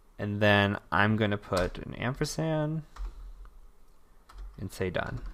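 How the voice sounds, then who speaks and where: The delivery is very slow. Long pauses come often. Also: man, fairly low pitch for a man. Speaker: cybersecurity instructor. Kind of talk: screen-recorded tutorial.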